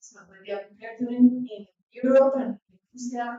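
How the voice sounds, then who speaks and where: A woman's high-pitched voice with a non-native accent, at a fairly slow pace. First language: not English. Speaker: artist working with Amazon communities. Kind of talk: symposium talk. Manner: halting.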